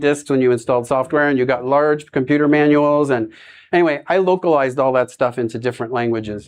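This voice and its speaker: Against a quiet background, a man with an American accent and a fairly high pitch speaks at a very fast pace with fairly even intonation. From US, Florida. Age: 60s. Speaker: nonprofit executive director, former professor. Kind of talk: presentation talk. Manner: casual with fillers.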